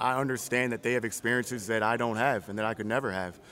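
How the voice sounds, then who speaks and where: Here a man talks at a very fast pace and medium pitch. He has an American accent. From Virginia, US. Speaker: head coach. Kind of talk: casual interview.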